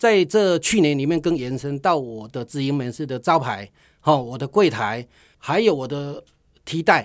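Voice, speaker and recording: With an unremarkable speaking voice, a man talks at a moderate pace, his pitch fairly high and his intonation lively, on a very clean recording with a silent background. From Taiwan, Tainan. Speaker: social enterprise CEO, honey business owner. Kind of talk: radio interview.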